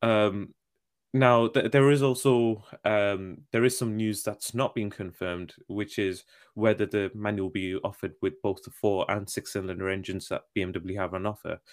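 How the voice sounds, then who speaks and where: A man with an ordinary speaking voice, fairly even intonation and a moderate pace, in a very clean recording with a silent background. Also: fairly low pitch for a man. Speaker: car podcast co-host. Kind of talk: casual banter. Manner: laughs often, chatty.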